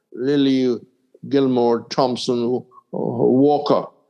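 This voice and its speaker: At a very slow pace, a man speaks in a medium pitch. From Caribbean (West Indies). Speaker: radio cricket commentator, broadcaster. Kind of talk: interview answer, storytelling.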